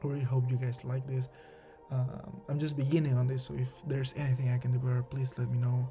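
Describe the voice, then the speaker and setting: Someone with a non-native accent talks at a very fast pace with music in the background. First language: not English. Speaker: anime video essayist. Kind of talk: scripted narration; casual talk to viewers. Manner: halting, with fillers.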